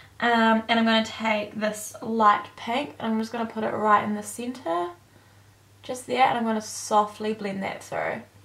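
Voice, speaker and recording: There is noticeable background noise as a woman speaks in a fairly high pitch with fairly even intonation. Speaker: beauty vlogger. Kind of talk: makeup tutorial. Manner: fast; casual.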